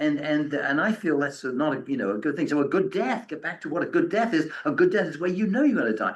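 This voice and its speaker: A man speaks at a high pitch, swinging very widely up and down. Room echo is audible. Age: 70s. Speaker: author and end-of-life speaker. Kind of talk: lecture with audience questions. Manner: halting, many repetitions.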